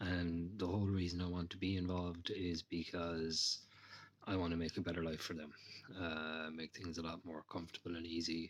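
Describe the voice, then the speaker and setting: A man's very deep, low voice in an Irish accent at a moderate pace. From Ireland. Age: 30s. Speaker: retail investor. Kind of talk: testimony.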